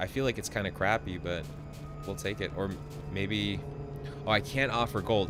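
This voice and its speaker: Music plays in the background as a man talks at a fairly quick pace. His pitch is fairly low, with ordinary variation. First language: not English. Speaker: gaming streamer. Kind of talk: live gameplay commentary.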